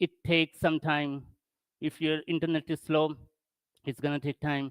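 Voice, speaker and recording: A non-native accent is heard. The speech moves at a moderate pace. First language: not English. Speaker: tech conference speaker. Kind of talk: technical presentation. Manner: halting.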